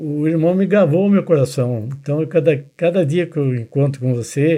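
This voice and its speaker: Over a quiet background, a man's fairly high, dark, mellow voice moves at a moderate pace with ordinary pitch variation. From Brazil, Minas Gerais and São Paulo state. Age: 80s+. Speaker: church elder. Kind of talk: testimony.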